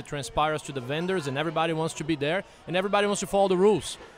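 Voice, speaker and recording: A man with a Portuguese accent talks very fast at a fairly high pitch, his intonation fairly even. Noticeable background noise is present. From Brazil. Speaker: bar owner. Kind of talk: casual interview.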